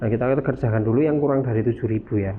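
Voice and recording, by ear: A man speaks fast with ordinary pitch variation. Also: medium pitch for a man.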